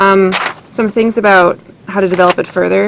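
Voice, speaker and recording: A woman speaks at a fairly low pitch in a monotone, flat intonation. Noticeable background noise sits behind her. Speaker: writing workshop participant. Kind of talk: workshop feedback discussion. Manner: fast; hesitant, with fillers.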